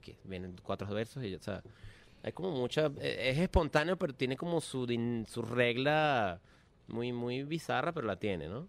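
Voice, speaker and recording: A man's medium-pitched voice with a Venezuelan accent, very wide pitch swings and a moderate pace, in a very clean recording over a silent background. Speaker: musician. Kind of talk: casual chat.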